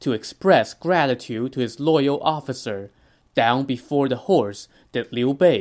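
Pitch shifts in an ordinary way throughout the unforced reading voice.

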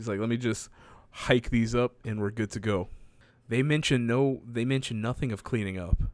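This is a man with a plain, everyday voice at a medium pitch. He keeps a moderate pace and fairly even intonation. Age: 20s. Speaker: podcast co-host. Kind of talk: casual chat. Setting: at parents' home.

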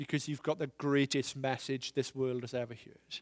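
A man's ordinary speaking voice at a moderate pace, with fairly even intonation and a dry, close sound with no echo. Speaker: visiting preacher. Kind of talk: sermon. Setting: church with congregation.

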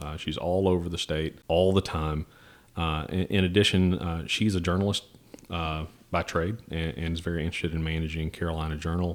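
The speaker has an American accent and talks at a fairly quick pace. The intonation stays monotone and flat. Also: man. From US South, Tennessee. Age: 30s. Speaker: think tank president. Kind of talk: casual interview. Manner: halting, many fillers and restarts.

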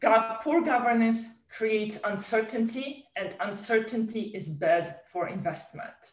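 A woman with a plain, everyday voice speaks at a fairly slow pace in a fairly high pitch, with ordinary pitch variation and hardly any pauses. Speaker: economist. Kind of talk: moderated panel discussion.

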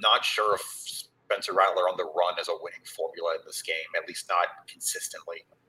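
A man with an American accent projects a raised voice at an extremely high pitch and a fairly quick pace. His intonation stays fairly even while his loudness swings widely. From Georgia (US). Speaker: sports beat reporter. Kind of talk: casual chat.

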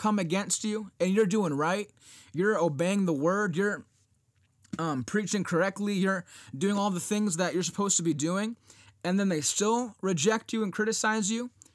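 Recorded very cleanly against a silent background, a man speaks in an animated tone at high pitch. His pace is moderate and his pitch variation ordinary. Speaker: podcast host and Bible teacher. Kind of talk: teaching.

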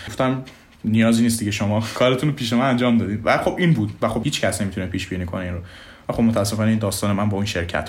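Amid audible room echo, a man talks at a very fast pace and a medium pitch with ordinary pitch variation. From Iran, Mashhad. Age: 20s. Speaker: software developer. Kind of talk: interview.

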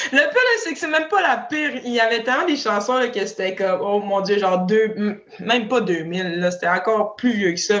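This woman talks at a moderate pace with lively intonation and a fairly high pitch. Noticeable background noise runs under her voice. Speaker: professional hockey player. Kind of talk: casual chat.

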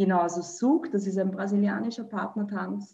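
A woman talks here with ordinary pitch variation. She has an unremarkable speaking voice. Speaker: dancer and dance teacher. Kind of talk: casual interview.

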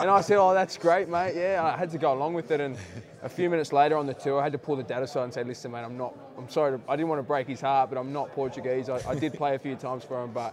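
The speech races along at a very fast pace. It comes with an Australian accent. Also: man, fairly high pitch for a man, ordinary pitch variation. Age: 20s. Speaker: rugby league player. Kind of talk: interview. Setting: playoffs media day at a stadium.

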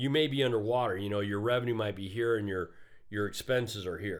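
An ordinary speaking voice from a man, medium in pitch with lively intonation. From Arizona (Phoenix area), Mexican-American. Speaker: entrepreneurship professor. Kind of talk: casual interview.

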